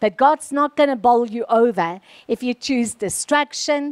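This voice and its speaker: A high-pitched woman at a fairly slow pace, quiet background. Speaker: preacher. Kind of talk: sermon. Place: stage. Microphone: handheld.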